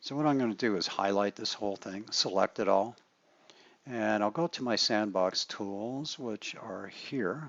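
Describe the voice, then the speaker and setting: This man has an ordinary speaking voice, fairly low in pitch, delivered at a fairly slow pace with ordinary pitch variation. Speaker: architect teaching software. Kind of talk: tutorial.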